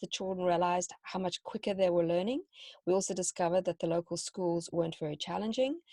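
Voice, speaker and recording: A dark, mellow tone with ordinary pitch variation moves at a very fast pace, with a dry, close sound, no echo and a quiet background. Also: woman. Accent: South African. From South Africa. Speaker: homeschooling parent and teacher. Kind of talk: interview.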